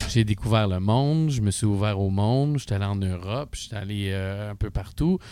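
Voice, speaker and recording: With a normal speaking voice, a man speaks at a moderate pace, his pitch fairly low with ordinary pitch variation. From Quebec (Asbestos area). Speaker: musician and studio owner. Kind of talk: casual chat.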